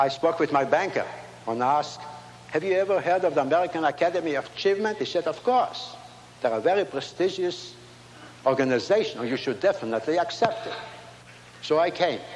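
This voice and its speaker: Over noticeable background noise, a man talks at a high pitch. His pace is fairly quick and his intonation lively. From Latvia. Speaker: inventor and speaker. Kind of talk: speech to a large audience. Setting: stage with audience.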